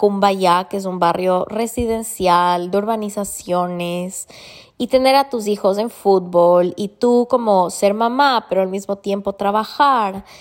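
A woman's medium-pitched voice at a fairly slow pace, in a very clean recording with a silent background. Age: 30s. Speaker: podcast host. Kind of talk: personal monologue. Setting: at the beach. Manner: casual, animated.

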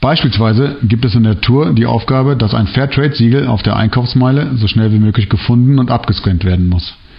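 At a fairly quick pace with hardly any pauses, a man speaks at a medium pitch, somewhat breathy, with very even loudness and ordinary pitch variation. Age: 30s. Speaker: social worker. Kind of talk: prepared presentation. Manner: formal.

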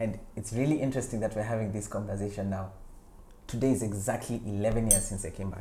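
Very fast and somewhat breathy, a man with a dark, mellow tone and fairly low pitch speaks with fairly even intonation amid audible room echo. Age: 40s. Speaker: actor and writer. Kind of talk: interview.

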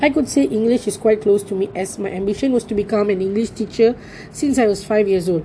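A woman's medium-pitched voice with a Tamil accent, a fairly quick pace and ordinary pitch variation. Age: 20s. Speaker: university student. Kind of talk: personal storytelling assignment.

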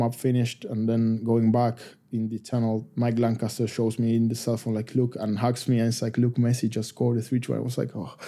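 A man with an Argentine accent speaks in a dark, mellow tone with monotone, flat intonation. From Argentina, Buenos Aires. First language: Spanish. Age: 30s. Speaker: professional rugby player. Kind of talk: casual interview.

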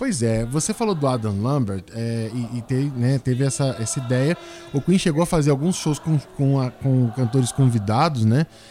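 Speaking with a Brazilian accent, a man keeps a medium pitch, a moderate pace and ordinary pitch variation. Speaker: podcast host and journalist. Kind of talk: casual chat.

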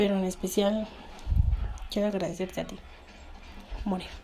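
Noticeable background noise sits under a woman's voice at a medium pitch. She talks at a moderate pace in a flat monotone. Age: 20s. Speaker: podcast host and university student. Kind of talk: storytelling.

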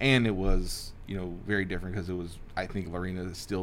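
A man with an American accent speaks at a fairly quick pace in a very deep, low voice. Audible room echo surrounds him. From Texas, South Houston and near Waco. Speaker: real estate broker and investor, former grocery executive. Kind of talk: interview conversation.

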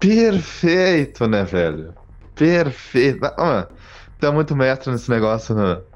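Over a quiet background, a man at medium pitch speaks at a very slow pace with very wide pitch swings. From southern Brazil (Rio Grande do Sul). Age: 20s. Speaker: podcast co-host, advertising professional. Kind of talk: casual chat.

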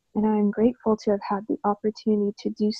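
A woman with a Canadian accent talks at a fairly quick pace in a medium pitch, somewhat breathy and monotone with flat intonation. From Canada, born in Egypt. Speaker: writer and ceremonial healer. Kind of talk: reading aloud.

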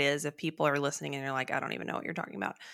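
A woman speaks with a Texan accent in a bright, sharp tone on a very clean recording with a silent background. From Texas. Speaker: podcast co-host, weight loss surgery patient. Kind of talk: casual chat. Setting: in-person studio recording, same room.

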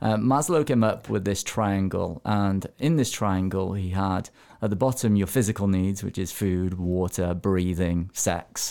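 On a very clean recording with a silent background, a man with an unremarkable speaking voice talks at a fairly low pitch and fairly slow pace, with ordinary pitch variation and hardly any pauses. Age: 30s. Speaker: mindset coach. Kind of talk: interview. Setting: studio.

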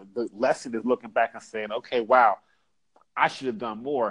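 A man with an American accent talks in a normal speaking voice. His pitch is medium, and his pace is fairly quick. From Pittsburgh area, Pennsylvania. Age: 40s. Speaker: former sales and insurance manager. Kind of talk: casual interview.

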